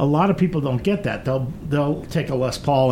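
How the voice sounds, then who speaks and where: Noticeable background noise runs under the recording. The speaker is a man. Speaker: radio show host. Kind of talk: radio interview. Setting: studio.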